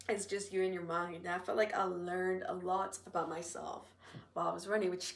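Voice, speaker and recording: With an American accent, a woman talks at a fairly quick pace. Her medium pitch carries monotone, flat intonation. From North Carolina. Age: 20s. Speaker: university student. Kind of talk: casual podcast talk.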